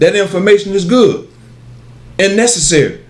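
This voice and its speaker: A man speaks with ordinary pitch variation. Audible room echo surrounds the voice. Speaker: pan-African metaphysics lecturer. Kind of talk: lecture. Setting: video studio with cameraman. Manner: halting, repetitive.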